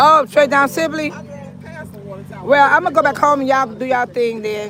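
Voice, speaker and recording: Crowd noise fills the background. A woman with a high voice talks at a moderate pace, her pitch varying in an ordinary way. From California. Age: 60s. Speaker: local YouTuber and community activist. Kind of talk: casual chat.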